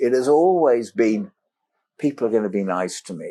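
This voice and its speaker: The voice has a dark, mellow tone with very wide pitch swings. The background is quiet. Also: man. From Africa, schooled in London. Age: 70s. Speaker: explorer and entrepreneur. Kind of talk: podcast interview storytelling. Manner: animated.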